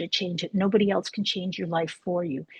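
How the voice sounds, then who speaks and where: A somewhat breathy, fairly quick voice in a dry, close recording with no echo and a quiet background. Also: woman. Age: 60s. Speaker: spiritual coach. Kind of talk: online interview.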